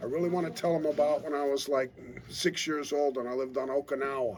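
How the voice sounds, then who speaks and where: There is noticeable background noise as a man speaks with fairly even intonation. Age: 70s. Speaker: retired pro wrestler and wrestling trainer. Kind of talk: interview.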